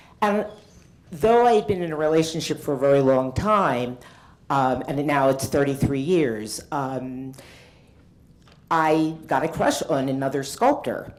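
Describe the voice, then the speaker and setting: Speaking at a fairly slow pace with long, frequent pauses, a woman uses a very deep, low pitch and lively intonation, and the room echo is audible. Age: 60s. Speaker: artist. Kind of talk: conference talk. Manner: halting.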